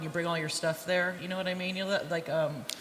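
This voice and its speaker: A woman with an American accent talks at a very fast pace in a medium pitch. Audible room echo and noticeable background noise surround her. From United States. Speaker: interviewer, author and academic. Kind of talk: interview. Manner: loud.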